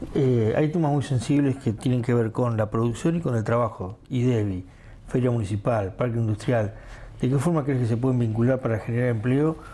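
Over light background noise, a man talks at a fairly quick pace in a medium pitch, somewhat breathy, with a dark, mellow tone, very even loudness and ordinary pitch variation. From Argentina. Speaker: local news journalist. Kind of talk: interview. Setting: studio. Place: studio. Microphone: lapel.

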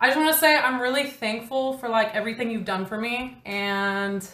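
Audible room echo hangs over speech that moves at a fairly quick pace. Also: woman. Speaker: streamer calling a friend. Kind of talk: casual phone chat. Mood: playful, teasing. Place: home room.

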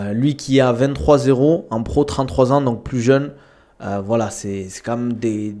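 A man's voice shows ordinary pitch variation, and the background is quiet. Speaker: streamer, combat sports commentator. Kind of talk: casual live-stream commentary. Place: home room. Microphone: studio mic.

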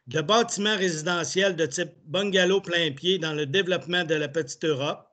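Bright and sharp in tone, a man speaks with high pitch and ordinary pitch variation. His pace is fairly slow over a quiet background. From Quebec. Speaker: municipal councillor. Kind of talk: formal reading of bylaws. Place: home room. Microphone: video call.

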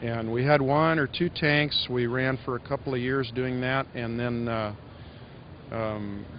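A man's voice at a fairly slow pace, fairly even in intonation, with a dry, echo-free sound over light background noise. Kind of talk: interview answer. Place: hall. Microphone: handheld.

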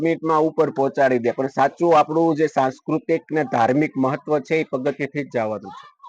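In a plain, everyday voice, a man speaks fairly high with ordinary pitch variation, the sound dry and close with no echo. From Gujarat, India (Amreli district). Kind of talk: news interview testimony.

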